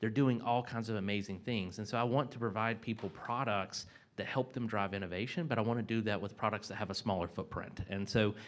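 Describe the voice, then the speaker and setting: With a North Carolina accent, a man speaks at a fairly quick pace with hardly any pauses, his pitch fairly low and his intonation fairly even. The recording is very clean, and the background is silent. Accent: Southern US (North Carolina). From US South, mountains of North Carolina. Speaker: corporate sustainability executive. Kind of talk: panel discussion.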